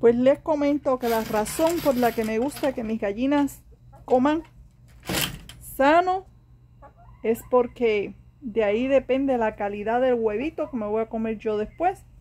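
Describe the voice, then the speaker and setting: A woman's high-pitched voice at a fairly slow pace, with ordinary pitch variation, long and frequent pauses, and light background noise. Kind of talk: casual vlog chat. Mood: cheerful, playful. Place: garden. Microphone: phone near.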